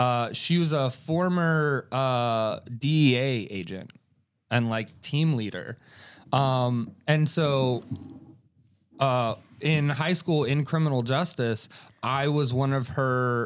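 Recorded very cleanly against a silent background, a man with a medium-pitched voice talks at a very slow pace with ordinary pitch variation. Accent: American. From Florida (Gainesville area). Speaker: comedian and podcast host. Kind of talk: casual chat.

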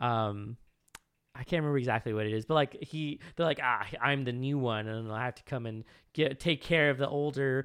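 Marked by big swings in loudness, a man with an ordinary speaking voice talks at a moderate pace and medium pitch, with ordinary pitch variation. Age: 30s. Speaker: podcast co-host. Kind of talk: casual chat.

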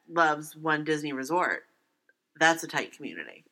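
A woman speaks loudly and at a fairly quick pace. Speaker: podcast co-host, fan of a boy band. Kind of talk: casual chat. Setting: home recording without proper sound equipment.

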